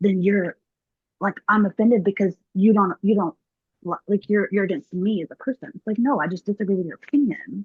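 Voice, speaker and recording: A woman with a Southern accent speaks at a moderate pace and medium pitch, her somewhat breathy voice heard in a dry, close sound with no echo. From US South, Mississippi. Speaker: yoga teacher. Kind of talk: casual interview chat.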